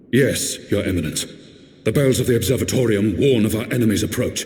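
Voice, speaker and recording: Putting on a character voice, a man talks at a fairly quick pace and a medium pitch. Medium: video game. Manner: respectful, cautious.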